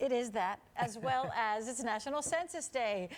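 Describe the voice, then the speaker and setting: Using an ordinary speaking voice, a woman with fairly high pitch talks with lively intonation. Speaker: TV news anchor. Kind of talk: TV news anchor banter and lead-in.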